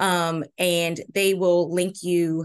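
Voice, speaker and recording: Against a quiet background, the speaker has an American accent and monotone, flat intonation. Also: woman. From Maryland. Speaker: college gymnastics head coach. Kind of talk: interview.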